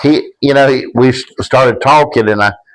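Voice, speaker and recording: A man talks with a Southern US accent. His pace is moderate. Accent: Southern US (Georgia). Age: 60s. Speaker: podcast guest. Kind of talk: casual chat. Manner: halting.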